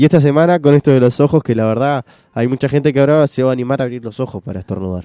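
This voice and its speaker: At a very fast pace, a man talks with a dark, mellow tone, medium pitch and ordinary pitch variation. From Uruguay (San Ramón, Canelones). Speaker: radio co-host. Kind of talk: casual chat. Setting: studio.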